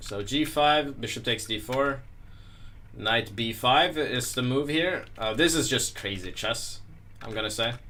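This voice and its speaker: A man mumbles at a fairly slow pace, his medium-pitched voice bright and sharp with ordinary pitch variation. Audible room echo surrounds the recording. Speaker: chess master presenting a video series. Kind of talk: chess analysis tutorial. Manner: mumbling; hesitant, many fillers.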